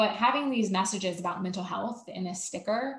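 A woman talks at a fairly quick pace with an American accent. Her medium-pitched voice is somewhat breathy. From US South, Savannah, Georgia. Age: 30s. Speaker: mental health speaker. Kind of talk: casual interview.

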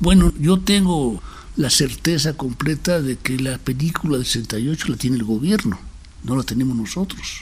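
Over noticeable background noise, a man with a medium pitch speaks at a fairly slow pace with lively intonation. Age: 80s+. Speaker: documentary filmmaker. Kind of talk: interview.

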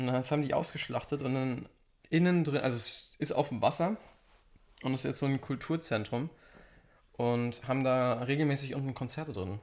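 A man with a medium-pitched voice talks at a moderate pace, with ordinary pitch variation and long, frequent pauses. The recording is very clean, with a silent background. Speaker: podcast co-host. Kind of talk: casual chat. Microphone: sits farther from the mic, quieter.

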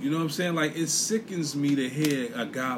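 Noticeable background noise sits under a man speaking at a fairly high pitch with an American accent. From US Northeast, inner city. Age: 40s. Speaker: podcast host. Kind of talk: solo monologue podcast, casual commentary. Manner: animated.

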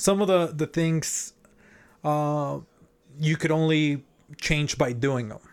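Fairly slow and with fairly even intonation, a man speaks in a Mexican accent. The recording is very clean, with a silent background. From Mexico City, Mexico. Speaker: podcast co-host. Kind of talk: casual chat.

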